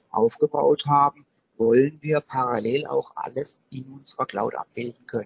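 This man's somewhat breathy voice sits at a fairly high pitch and moves at a moderate pace. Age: 30s. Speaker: IT company managing director. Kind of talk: interview. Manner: hesitant, many filler sounds.

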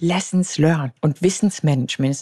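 Dark, mellow tone from a woman, recorded dry and close with no echo. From Bavaria, Munich. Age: 30s. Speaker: pilot and astronaut candidate. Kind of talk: interview conversation.

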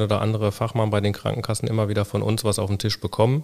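A man speaking at a very fast pace. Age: 40s. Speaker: co-founder of a children's wheelchair company. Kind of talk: interview. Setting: on location in company workshop. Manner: halting with many fillers.

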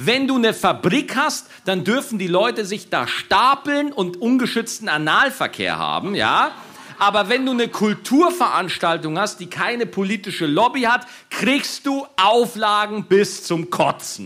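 A man with a high voice speaks fairly slowly, raised and projected. His intonation is lively and his tone animated. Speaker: comedian and podcast host. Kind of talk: live podcast recording with audience banter. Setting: live stage with audience, outdoors in rain.

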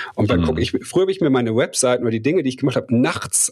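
A man's voice amid noticeable background noise. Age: 40s. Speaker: coach and entrepreneur. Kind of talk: interview conversation.

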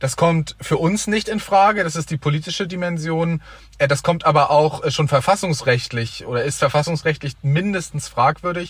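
An unremarkable speaking voice belongs to a man with a fairly high pitch. He talks at a moderate pace with ordinary pitch variation. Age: 20s. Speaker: young member of parliament. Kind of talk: debate.

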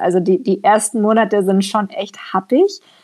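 Hers is an unremarkable speaking voice, a woman at medium pitch with ordinary pitch variation. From Allgäu, southern Germany. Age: 20s. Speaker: emigrant, trainee primary school teacher. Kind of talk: interview.

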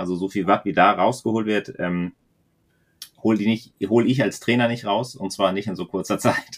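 With a plain, everyday voice, a man speaks at a moderate pace, his fairly low pitch carrying fairly even intonation in a very clean recording with a silent background. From northern Germany, near the Danish border. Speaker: podcast co-host, aero fitting specialist. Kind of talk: casual podcast chat.

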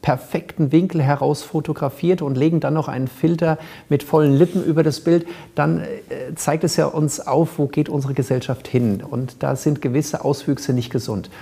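With a dark, mellow tone and a somewhat breathy quality, a man speaks at a moderate pace with fairly even intonation. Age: 40s. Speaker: cosmetic surgeon. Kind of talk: interview. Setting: studio.

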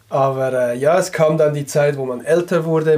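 Noticeable background noise is present. A man speaks at a moderate pace. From Switzerland, canton of Glarus. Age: 30s. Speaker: sock business co-founder. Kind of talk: casual interview chat. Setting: studio, in person.

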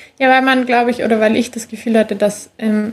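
Her voice fairly high and somewhat breathy, a woman talks at a fairly quick pace. Her intonation is flat and monotone. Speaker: former track athlete. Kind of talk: interview. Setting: remote call.

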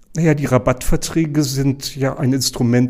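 The man has an ordinary speaking voice with a fairly high pitch. He keeps a moderate pace and fairly even intonation. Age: 60s. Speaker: hospital pharmacy director. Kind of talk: interview.

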